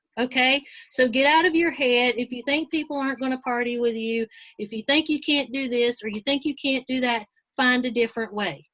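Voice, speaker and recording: A woman's high-pitched, bright and sharp voice with a dry, close sound and no echo. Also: fairly quick pace. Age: 50s. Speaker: direct sales team leader. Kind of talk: motivational training talk. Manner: animated.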